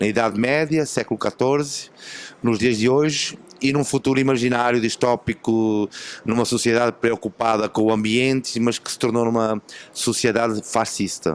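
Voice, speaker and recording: A man with a European Portuguese accent talks at a moderate pace. His medium-pitched voice keeps fairly even intonation. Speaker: film director. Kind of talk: interview. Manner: halting.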